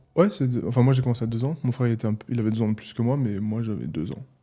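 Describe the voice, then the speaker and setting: With a slight Alsatian accent, a man talks very fast in a dark, mellow, somewhat breathy tone. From Alsace, France (Mulhouse). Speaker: athlete and physiotherapist, podcast guest. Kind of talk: casual interview conversation. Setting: in-person podcast recording in Dubai.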